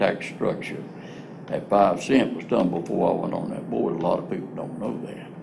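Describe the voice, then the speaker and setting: With a North Carolina accent, a man talks at a moderate pace over noticeable background noise, and the room echo is audible. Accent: Southern US, rural North Carolina. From North Carolina, Piedmont (born southern Virginia). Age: 80s+. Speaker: former county commissioner. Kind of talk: interview. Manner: halting, with many restarts.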